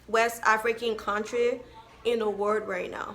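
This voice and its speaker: Fairly slow, monotone, flat delivery with audible room echo. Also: woman. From Liberia. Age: 20s. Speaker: vlogger. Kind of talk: casual vlog talk.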